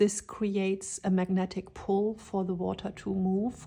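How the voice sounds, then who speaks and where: A woman speaks at a fairly slow pace with a medium pitch. Her voice is somewhat breathy. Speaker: tarot reader. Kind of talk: tarot reading.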